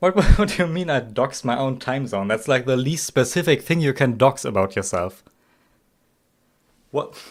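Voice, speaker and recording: A man's medium-pitched voice with a German accent and lively intonation, at a moderate pace with long, frequent pauses, on a very clean recording with a silent background. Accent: German accent, noticeable. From Germany. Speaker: game streamer. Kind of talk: live stream commentary. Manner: halting, many fillers and restarts.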